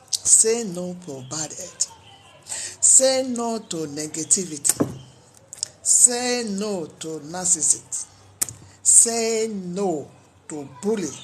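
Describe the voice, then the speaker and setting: Speaking at a medium pitch, a woman talks at a very slow pace with long, frequent pauses. Her pitch swings very widely and her loudness varies a lot, over noticeable background noise. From Nigeria, Edo (Benin). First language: Edo. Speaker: health talk vlogger. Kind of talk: motivational talk.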